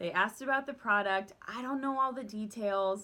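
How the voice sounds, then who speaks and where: A loud woman's voice, bright and sharp, with an animated, bubbly tone. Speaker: direct sales team leader. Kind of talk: casual vlog tips talk. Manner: bubbly and loud.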